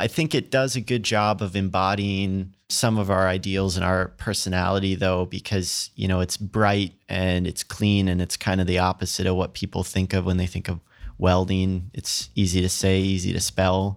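A man speaks in a very deep, low pitch with monotone, flat intonation, at a moderate pace with hardly any pauses. The recording is very clean, with a silent background. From US Midwest, rural Minnesota. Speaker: welding company founder. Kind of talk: interview.

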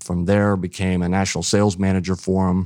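In a Midwestern US accent, a man with a very deep, low voice and a dark, mellow tone talks at a fairly quick pace with fairly even intonation on a very clean recording with a silent background. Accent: US Midwest. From eastern Ohio, rural. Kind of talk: interview.

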